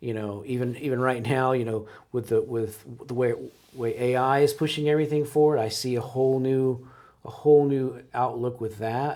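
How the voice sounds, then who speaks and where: A man speaks at a moderate pace with a medium pitch, a dark, mellow tone and fairly even intonation. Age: 60s. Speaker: business owner. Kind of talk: interview. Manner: halting.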